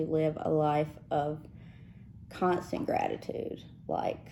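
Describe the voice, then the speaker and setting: A woman speaks with a Mississippi accent. Her tone is dark and mellow. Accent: Southern US (Mississippi). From South Texas, raised in Mississippi. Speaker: podcast co-host. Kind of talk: casual chat.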